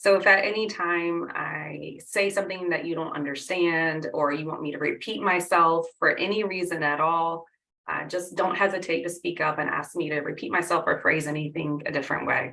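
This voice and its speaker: In an American accent, a woman with a fairly low pitch speaks at a moderate pace with fairly even intonation and hardly any pauses. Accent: Southern twang, at times. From US South. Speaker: workshop instructor, R programmer. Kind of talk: online workshop with audience polls.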